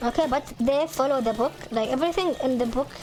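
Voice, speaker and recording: A woman's high-pitched voice with a slight Arabic accent and ordinary pitch variation, over music in the background. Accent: slight Arabic accent, improved. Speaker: gaming video creator. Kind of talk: casual chat. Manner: halting, many repeated words and fillers.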